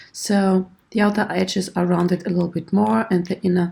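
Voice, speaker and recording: Her voice is somewhat breathy with a dark, mellow tone, and the woman's intonation is lively. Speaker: 3D modelling tutor. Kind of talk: tutorial. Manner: hesitant, many fillers.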